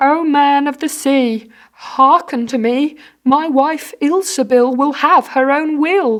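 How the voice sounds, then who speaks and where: A put-on character voice, high-pitched and at a fairly slow pace. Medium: read story. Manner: timid, reluctant.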